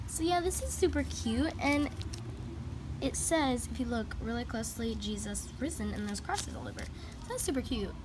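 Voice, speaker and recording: Her delivery moves at a moderate pace. There is noticeable noise in the background as the woman talks. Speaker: toy reviewer. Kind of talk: casual vlog chat. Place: street. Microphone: phone near.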